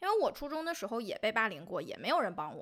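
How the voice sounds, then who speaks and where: A woman's raised, projected voice, high-pitched with a bright, sharp tone and very wide pitch swings. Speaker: podcast co-host. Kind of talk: casual chat.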